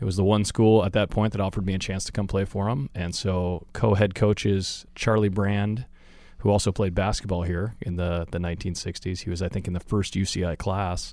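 In a very clean recording with a silent background, a man with an American accent speaks at a fairly quick pace with a dark, mellow tone, fairly low pitch and monotone, flat intonation. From Northern California, Chico. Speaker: volleyball coach. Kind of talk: interview. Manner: articulate.

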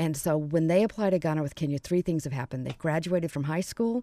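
In an American accent, a woman speaks at a very deep, low pitch with a dark, mellow tone and ordinary pitch variation. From US South (Atlanta). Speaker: nonprofit founder. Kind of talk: radio interview. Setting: studio.

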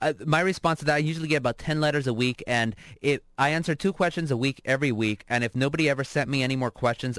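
A man at a very fast pace with hardly any pauses, medium pitch and ordinary pitch variation, dry and close with no echo on a very clean recording against a silent background. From Southern California, Orange County (Anaheim), Mexican immigrant family. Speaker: newspaper columnist. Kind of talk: radio interview.

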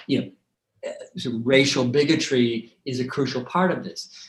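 A man with an American accent speaks at a fairly slow pace and medium pitch. He has a plain, everyday voice. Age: 60s. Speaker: documentary director. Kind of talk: interview.

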